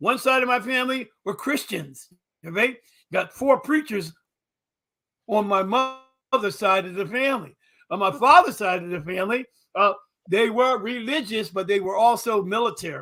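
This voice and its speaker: A man's high, bright and sharp voice, raised and projected, in an American accent with lively intonation, a moderate pace and long, frequent pauses. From Philadelphia. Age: 70s. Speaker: historian and civil war reenactor. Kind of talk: interview conversation. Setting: livestream talk show.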